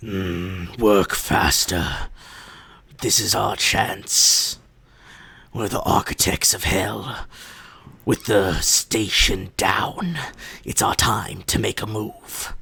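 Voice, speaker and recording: In a put-on character voice, a man speaks very slowly with long, frequent pauses, his fairly low tone raspy and gravelly. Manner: scheming, urgent.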